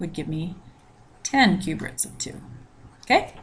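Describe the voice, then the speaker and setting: Somewhat breathy, the voice moves at a fairly slow pace with ordinary pitch variation and audible room echo. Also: woman. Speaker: math teacher. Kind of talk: recorded lecture.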